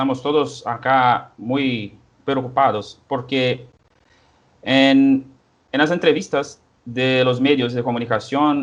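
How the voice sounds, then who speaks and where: A man with a Portuguese accent and a medium pitch speaks at a very slow pace, his intonation fairly even. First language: Portuguese (speaking Spanish). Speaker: historian, researcher. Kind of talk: interview. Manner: halting.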